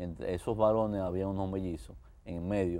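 Fairly quick in pace, a man speaks with a very deep, low pitch, a dark, mellow tone and fairly even intonation. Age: 60s. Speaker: architect giving faith testimony; guest. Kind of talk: TV interview testimony. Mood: warm, cheerful storytelling. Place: studio. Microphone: lapel.

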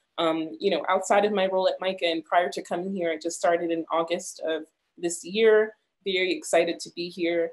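Over a quiet background, a woman with a plain, everyday voice and a fairly low pitch talks at a fairly quick pace with fairly even intonation. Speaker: community arts coordinator. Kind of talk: presentation. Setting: video call. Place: home room. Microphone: video call.

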